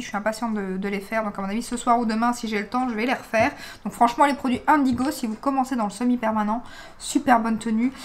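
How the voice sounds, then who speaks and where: Very fast and fairly high in pitch, a woman speaks with fairly even intonation. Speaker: beauty vlogger. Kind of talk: casual vlog review. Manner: chatty, many hesitations.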